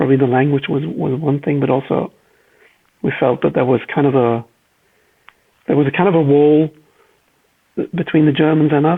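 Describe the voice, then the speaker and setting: Speaking with a Flemish accent, a man uses a fairly high pitch, ordinary pitch variation, very even loudness and a fairly quick pace broken by long, frequent pauses. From Belgium (Flanders, Leuven/Antwerp area). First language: Flemish Dutch. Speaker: car designer. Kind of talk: casual interview chat.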